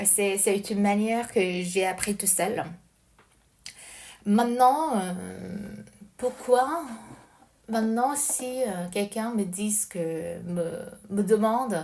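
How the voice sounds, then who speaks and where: A woman at a very slow pace, with long, frequent pauses and audible room echo. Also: medium pitch for a woman, ordinary pitch variation. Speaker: language learner. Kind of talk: casual recorded voice message monologue. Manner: halting, hesitant with many fillers.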